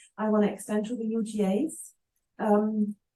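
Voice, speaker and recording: A woman with a non-native accent speaks at a fairly slow pace. Her voice is fairly high in pitch, with a dark, mellow tone. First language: not English. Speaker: library software product owner. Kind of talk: meeting discussion. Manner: halting.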